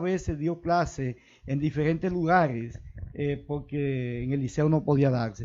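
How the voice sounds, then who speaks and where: The pitch shows ordinary variation. The pace is moderate. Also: man. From Dominican Republic, Santiago Rodríguez province. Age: 60s. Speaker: local politician. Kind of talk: interview. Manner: halting.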